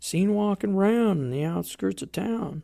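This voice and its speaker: A put-on character voice, drawling at a fairly slow pace. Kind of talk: campfire horror storytelling. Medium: solo performance. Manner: drawling, conversational, folksy.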